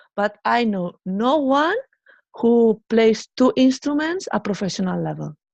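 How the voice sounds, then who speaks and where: A woman's fairly high voice in a Spanish accent, fairly slow with lively intonation, dry and close with no echo against a quiet background. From Spain. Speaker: musician. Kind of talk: interview.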